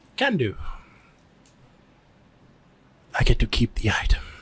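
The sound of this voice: The speaker is a man using a put-on character voice with a raspy edge. His delivery has a moderate pace.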